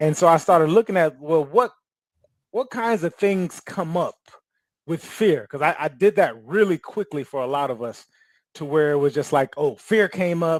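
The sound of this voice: At a moderate pace, a man speaks with lively intonation at a fairly high pitch. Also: dry, close sound with no echo.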